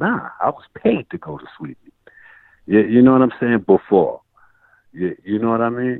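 A man with a New York accent, his speech broken by long, frequent pauses. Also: medium pitch for a man, lively intonation, moderate pace. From Brooklyn, New York. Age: 40s. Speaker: rapper. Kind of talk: casual interview.

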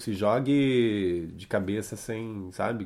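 Intonation rises and falls in a lively way in an unremarkable speaking voice. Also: man. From Curitiba, Paraná, Brazil. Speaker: film and theatre actor. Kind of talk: casual interview. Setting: recorded at host's home.

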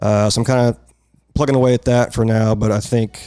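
A man speaks with an American accent at a fairly quick pace. His intonation is monotone and flat, on a very clean recording with a silent background. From North Texas. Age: 40s. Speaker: light painting artist. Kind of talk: casual chat.

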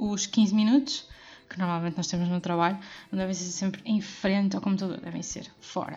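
A somewhat breathy woman speaks at a medium pitch with fairly even intonation. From Portugal, Porto. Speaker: podcast host. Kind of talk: solo podcast monologue.

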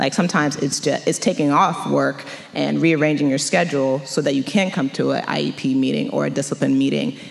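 A woman with an American accent speaks at a fairly quick pace, with hardly any pauses. Noticeable background noise is present. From Montgomery County, Maryland. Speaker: education attorney. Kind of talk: panel discussion and closing prayer.

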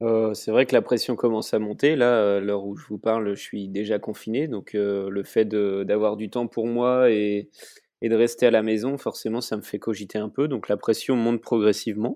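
Against a quiet background, a man with a fairly low pitch and a dark, mellow tone speaks at a moderate pace with fairly even intonation. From France, Vendée. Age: 30s. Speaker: professional sailor. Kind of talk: interview.

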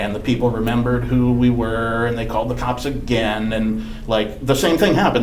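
A man speaks with an American accent at a moderate pace. Audible room echo and noticeable background noise surround him. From Wisconsin. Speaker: podcast host. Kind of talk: casual chat.

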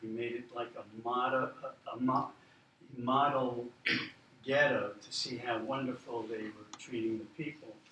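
Amid noticeable background noise, a man speaks at a fairly slow pace with a medium pitch, monotone, flat intonation and long, frequent pauses. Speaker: museum volunteer. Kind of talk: slide presentation narration. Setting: university roundtable with live audience.

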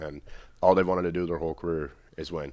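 A man's very fast delivery in a Canadian accent, with monotone, flat intonation. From Canada, Whitby, Ontario. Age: 20s. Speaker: ice hockey player. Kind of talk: casual interview.

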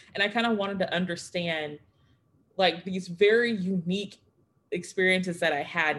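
A woman with an American accent, fairly low in pitch, at a fairly quick pace. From Texas. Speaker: history doctoral student and former teacher. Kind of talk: panel discussion. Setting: video call. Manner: fast talker.

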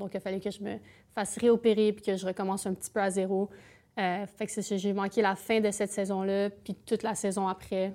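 On a very clean recording with a silent background, a woman with a Canadian French accent speaks at a medium pitch and a fairly quick pace, using a dark, mellow tone and monotone, flat intonation. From eastern Ontario. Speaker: Olympic alpine skier. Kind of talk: casual interview. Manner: fast.

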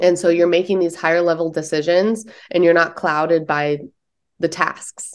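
Speaking at a moderate pace with an American accent, a woman uses an unremarkable speaking voice, fairly low in pitch, with fairly even intonation. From US Midwest, Detroit then San Diego. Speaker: nurse practitioner and apparel entrepreneur. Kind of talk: interview.

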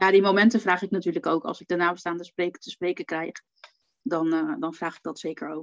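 Dry and close with no echo, the recording has a quiet background. A woman speaks at a fairly quick pace and fairly low pitch in an unremarkable speaking voice. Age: 40s. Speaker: funeral photographer. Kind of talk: casual chat in a live video stream. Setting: live stream in a Facebook group.

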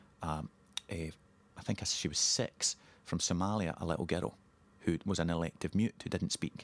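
A man with a Scottish accent and a very deep, low pitch, at a moderate pace with long, frequent pauses, in a dry, close sound with no echo. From Scotland, Ayrshire (Girvan). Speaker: playwright. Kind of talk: interview.

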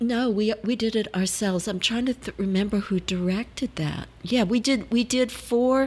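On a very clean recording with a silent background, a woman speaks somewhat breathily at a moderate pace with hardly any pauses. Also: fairly high pitch for a woman, ordinary pitch variation. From New Orleans, Louisiana. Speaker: actress. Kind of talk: interview, casual chat.

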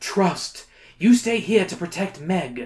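The speaker puts on a character voice at a middle pitch. The delivery comes at a fairly slow pace. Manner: solemn.

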